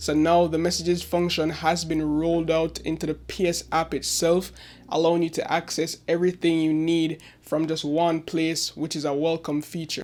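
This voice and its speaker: A man speaks quietly in a high, monotone, flat voice with hardly any pauses. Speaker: tech YouTuber. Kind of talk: tech review. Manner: quiet, low volume.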